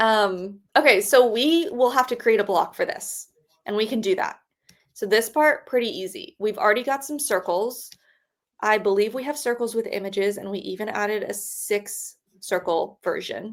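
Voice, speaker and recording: A woman with a plain, everyday voice speaks at a moderate pace, her fairly high pitch showing ordinary variation. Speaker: web designer co-host of a live stream. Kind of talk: live stream screen-share walkthrough. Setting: live stream. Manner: casual, filler-heavy.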